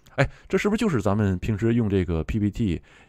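Fairly low in pitch, a man speaks in a dark, mellow tone with vocal fry. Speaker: tech video creator. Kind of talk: tutorial. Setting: screen-recorded video. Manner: friendly, conversational.

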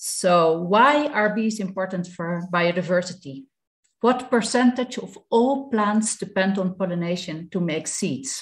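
A woman with a Dutch accent speaks at a fairly slow pace, somewhat breathy and with lively intonation, against a quiet background. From Netherlands. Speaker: beekeeper. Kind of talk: webinar presentation. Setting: video call. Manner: halting. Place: home room. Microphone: video call.

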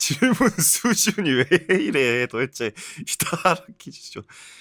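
With a bright, sharp tone and an animated delivery, a man's voice swings very widely in pitch, recorded dry and close with no echo. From South Korea. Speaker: game youtuber and virtual variety show host. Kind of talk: comedy quiz show.

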